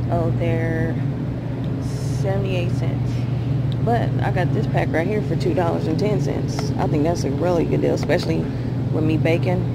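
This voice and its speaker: Amid loud background noise, a woman talks at a moderate pace with ordinary pitch variation and long, frequent pauses. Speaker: vlogger comparing grocery prices. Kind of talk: casual vlog chat. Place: shop. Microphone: phone near.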